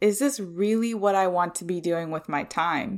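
A woman speaks in a warm tone with ordinary pitch variation, on a very clean recording with a silent background. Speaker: podcast host. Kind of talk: solo podcast monologue, personal and reflective. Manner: upbeat, enthusiastic, sometimes raised "customer service" tone; warm, chatty, laughs often.

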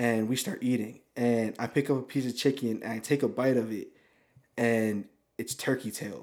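A man at medium pitch with an unremarkable speaking voice, fairly even intonation and a moderate pace, on a very clean recording against a silent background. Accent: American. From American Samoa. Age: 20s. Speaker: camera helper and ministry intern. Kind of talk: casual chat. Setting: studio.

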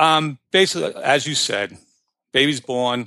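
A man with a New York accent speaks at a moderate pace in a bright, sharp tone, the sound dry and close with no echo. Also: quiet background. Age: 50s. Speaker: personal finance blogger. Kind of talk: casual interview.

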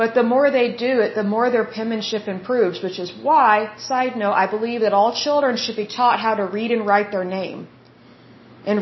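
A woman speaks with a slight Oklahoma accent and a fairly high pitch. She goes at a moderate pace with fairly even intonation. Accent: slight Oklahoma twang. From Oklahoma, US. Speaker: podcast host. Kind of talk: solo podcast monologue, reading info. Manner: chatty, warm, informal.

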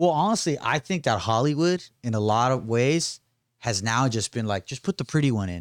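A man with an unremarkable speaking voice talks at a moderate pace in a medium pitch with lively intonation, on a very clean recording with a silent background. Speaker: podcast host. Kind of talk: casual interview.

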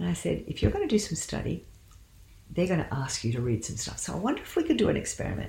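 A woman with an Australian accent speaks at a very fast pace. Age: 60s. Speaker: medical doctor and counsellor. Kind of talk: interview about faith and career.

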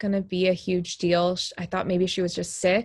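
Fairly slow and medium in pitch, a woman with an American accent talks in a normal speaking voice. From Texas. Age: 30s. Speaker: bereaved widow and mother, grief podcaster. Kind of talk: interview testimony. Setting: video call.

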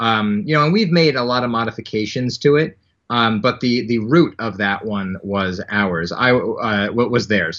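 Speaking at a moderate pace, this man has a medium pitch, ordinary pitch variation and an unremarkable speaking voice. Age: 30s. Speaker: anti-bullying nonprofit founder. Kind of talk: interview.

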